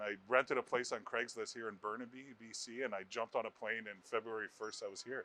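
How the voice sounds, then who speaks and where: A man with a Canadian accent talks very fast, with hardly any pauses and a medium pitch. His bright, sharp tone stays monotone and flat while his loudness swings widely. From Ontario, Canada (Brampton/Mississauga near Toronto). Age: 30s. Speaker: stand-up comedian. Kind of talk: interview.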